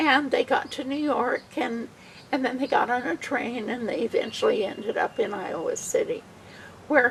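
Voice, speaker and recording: Noticeable background noise beneath a woman's high voice and its very wide pitch swings. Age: 70s. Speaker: church member telling a family history. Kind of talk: storytelling.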